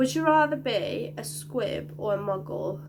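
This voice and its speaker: Noticeable background noise and audible room echo around a woman talking. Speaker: youtuber. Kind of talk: casual vlog chat. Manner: hesitant, filler-heavy.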